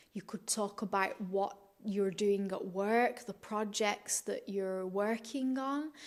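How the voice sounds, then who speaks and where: Talking at a very slow pace, a woman speaks at a medium pitch with a Manchester accent. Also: fairly even intonation. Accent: Northern English (Manchester). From Manchester, UK. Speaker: English teacher. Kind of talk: educational talk to camera. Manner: hesitant, many filler sounds.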